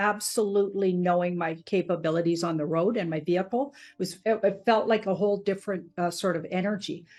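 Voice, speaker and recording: In a quiet background, a woman with a plain, everyday voice speaks at a moderate pace and medium pitch with ordinary pitch variation. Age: 60s. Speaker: podcast host. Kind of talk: interview.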